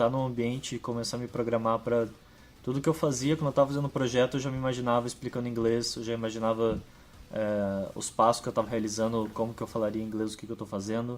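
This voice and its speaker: Very fast delivery from a man, medium in pitch, the intonation fairly even. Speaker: data scientist. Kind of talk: casual chat.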